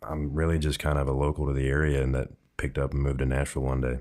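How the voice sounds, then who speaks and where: A man's very deep, low voice. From Ohio, US Midwest. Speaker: country singer. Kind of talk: interview.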